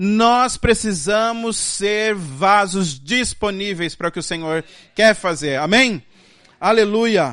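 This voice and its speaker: Very slowly, a man with a high pitch and a bright, sharp tone speaks with ordinary pitch variation. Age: 30s. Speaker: guest preacher. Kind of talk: sermon. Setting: church. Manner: halting.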